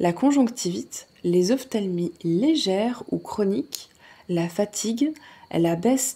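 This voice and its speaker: This soft-spoken, somewhat breathy voice has a dark, mellow tone and moves at a very slow pace. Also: woman. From Alsace, France. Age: 30s. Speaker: ASMR creator. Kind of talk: ASMR book reading. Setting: relaxed at home in a hammock, birds and crickets in background. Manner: soft-spoken, relaxed.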